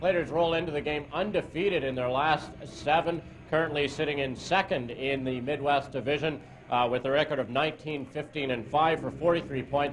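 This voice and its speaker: A voice speaks at a fairly quick pace with fairly even intonation over noticeable background noise. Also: man, fairly high pitch for a man. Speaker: play-by-play hockey announcer. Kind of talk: game-opening broadcast welcome.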